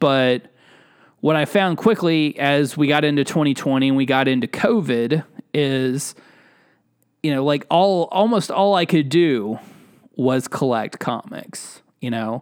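A man talks at a fairly slow pace in a plain, everyday voice. His intonation is lively. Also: fairly high pitch for a man. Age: 30s. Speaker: podcast host. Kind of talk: solo casual monologue.

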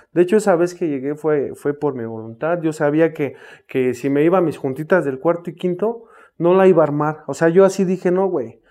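A man with a fairly high voice and a dark, mellow tone moves at a fairly quick pace. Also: ordinary pitch variation. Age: 30s. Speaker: recovering addict, runs rehab houses. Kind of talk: testimony.

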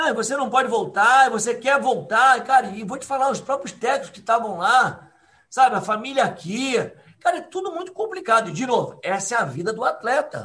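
Projected and raised, the man's extremely high voice has a bright, sharp tone, lively intonation, big swings in loudness and a moderate pace. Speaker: triathlon coach. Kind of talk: casual chat. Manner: animated.

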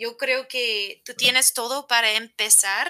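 Silent background and a very clean recording, with an American accent. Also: woman. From United States. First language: English (speaking Spanish). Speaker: teacher and motivational coach. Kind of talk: casual interview. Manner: halting, non-native phrasing.

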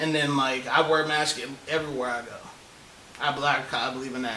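Against noticeable background noise, a man talks at a very fast pace with fairly even intonation. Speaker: co-host. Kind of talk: casual chat.

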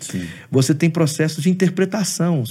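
A man speaks with a dark, mellow tone that is somewhat breathy. His pitch variation is ordinary. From Brazil, Espírito Santo (Aracruz). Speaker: pastor and theology professor. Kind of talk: interview on theology.

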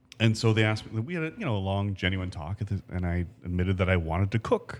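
A man with a Canadian accent talks in an ordinary speaking voice at a fairly quick pace, his fairly low pitch showing ordinary variation. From Canada, Ancaster, Ontario. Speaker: chef. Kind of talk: casual interview chat.

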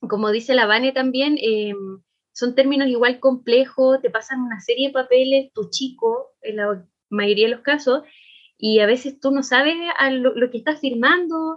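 The speech moves at a moderate pace with ordinary pitch variation. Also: woman, high pitch for a woman. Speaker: podcast co-host. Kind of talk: casual chat.

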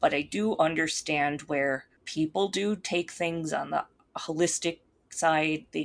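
In a quiet setting, a woman with a Minnesotan accent speaks in a very deep, low voice. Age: 30s. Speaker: YouTuber and witch. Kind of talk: casual interview chat.

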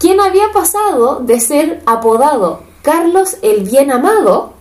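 A woman talks at a very slow pace with a high pitch and very wide pitch swings. Audible room echo surrounds her voice. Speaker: podcast co-host. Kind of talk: casual storytelling. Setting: home living room. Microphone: cheap microphone.

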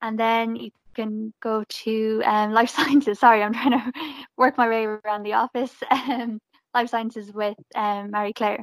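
A woman speaks in a western Irish accent at a fairly high pitch, with monotone, flat intonation. Her fairly slow delivery has a dry, close sound with no echo. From Galway, Ireland. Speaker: graduate market executive. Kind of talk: casual chat.

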